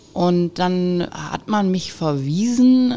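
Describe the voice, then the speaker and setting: At a very slow pace, a woman with a fairly low pitch speaks with lively intonation amid noticeable background noise. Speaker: business owner, managing director of a metalworking firm. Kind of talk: interview. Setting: at her company premises.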